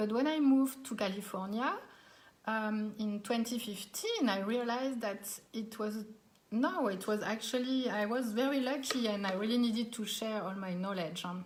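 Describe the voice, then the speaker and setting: Amid noticeable background noise and audible room echo, a woman with a French accent talks at a moderate pace in a fairly high voice with ordinary pitch variation. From France, Alsace. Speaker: cooking teacher. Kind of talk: live online cooking class. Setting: live stream from home dining room.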